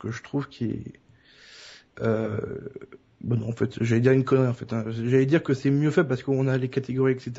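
A man talks at a moderate pace and a medium pitch. His voice is somewhat breathy, with fairly even intonation. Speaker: podcast co-host. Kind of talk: casual chat.

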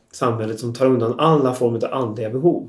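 A man is speaking. His pitch moves up and down an ordinary amount. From Västergötland, Sweden. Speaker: radio host and architect. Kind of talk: radio interview. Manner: halting, many fillers.

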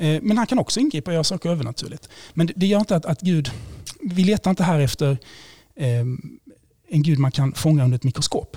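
Speaking very fast yet with long, frequent pauses, a man with a fairly high pitch and a dark, mellow tone keeps a very even loudness, heard in a dry, close sound with no echo. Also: lively intonation. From Sweden, Blekinge. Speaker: priest and theology lecturer. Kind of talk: interview, explaining faith arguments.

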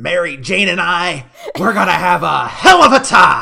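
At a moderate pace, a man talks high in pitch, using a put-on character voice. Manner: maniacal.

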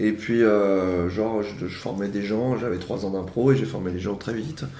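A man's moderately paced speech, with ordinary pitch variation, carries audible room echo. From France, Yvelines (Paris region). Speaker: improv actor. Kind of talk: casual interview chat. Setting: home living room at brunch table.

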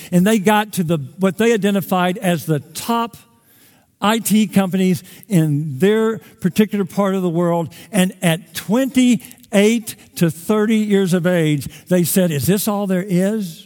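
A man talks fairly slowly in a high pitch, his pitch variation ordinary. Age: 60s. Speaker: pastor. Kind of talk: sermon. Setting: church.

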